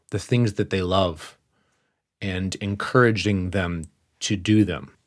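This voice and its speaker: Fairly low in pitch, a man talks at a moderate pace with fairly even intonation. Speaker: podcast host, life mentor. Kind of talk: podcast monologue.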